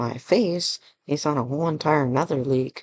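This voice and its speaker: A soft-spoken voice with a dry, close sound and no echo. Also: man. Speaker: gaming YouTuber and streamer. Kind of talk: casual Q&A vlog. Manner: quiet, soft-spoken.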